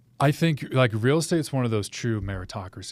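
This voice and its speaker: With an American accent and a normal speaking voice, a man talks at a moderate pace with ordinary pitch variation on a very clean recording with a silent background. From US Pacific Northwest. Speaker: realtor, former military pilot. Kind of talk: interview. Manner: casual.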